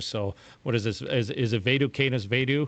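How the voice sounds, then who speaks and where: A man with a Minnesota accent speaks at a medium pitch and a fairly slow pace, his intonation fairly even, against a quiet background. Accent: Midwest Minnesota. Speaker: podcast host, firefighter. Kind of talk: casual chat.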